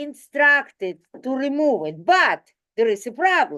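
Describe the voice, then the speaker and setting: This woman has a non-native accent and a high pitch. She talks at a very slow pace. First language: not English. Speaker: community board committee member. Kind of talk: public meeting discussion. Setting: community board meeting, livestreamed.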